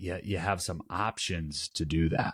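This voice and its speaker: A man with a Wisconsin accent, fairly slow in pace and fairly even in intonation, on a very clean recording with a silent background. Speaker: board game podcast co-host. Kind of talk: casual review chat. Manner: halting, many repeated words.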